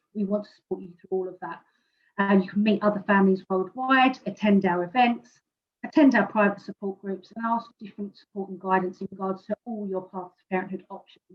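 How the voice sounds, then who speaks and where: A woman with a British accent and a medium pitch talks at a fairly quick pace, somewhat breathy, with fairly even intonation and big swings in loudness. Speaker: presenter from a fertility support organisation. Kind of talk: presentation. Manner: fast.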